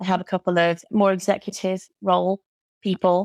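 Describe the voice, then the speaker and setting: A woman with a British accent speaks at a moderate pace in a fairly low pitch. The sound is dry and close, with no echo. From Britain. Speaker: occupational therapist and burnout coach. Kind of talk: podcast interview.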